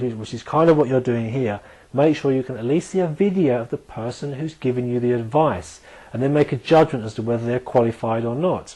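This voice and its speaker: Speaking at a fairly quick pace, a man has a dark, mellow tone. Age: 40s. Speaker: nutritionist. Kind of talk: tutorial. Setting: video recording. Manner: fast; halting.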